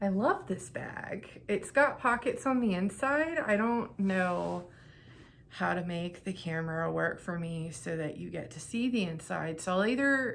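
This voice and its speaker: Pitch swings very widely as the speaker goes at a fairly slow pace, with room echo audible. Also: woman. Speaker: knitting vlogger and craft seller. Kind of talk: casual vlog talk to camera. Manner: rambling with fillers.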